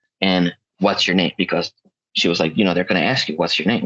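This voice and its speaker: A man talks with a slight Spanish accent. His pitch is very deep and low. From South America (Chile/Peru), moved to US as child. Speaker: podcast guest. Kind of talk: casual chat.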